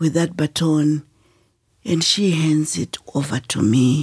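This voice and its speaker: A woman speaks at a very slow pace with ordinary pitch variation. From Zimbabwe, rural north. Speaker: author and women's education advocate. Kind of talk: interview storytelling.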